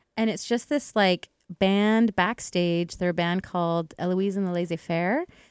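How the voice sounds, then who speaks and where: A woman's unremarkable speaking voice in a Canadian accent, medium in pitch with ordinary pitch variation, fairly slow with hardly any pauses. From Edmonton, Canada. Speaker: musician and broadcaster. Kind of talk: casual interview chat.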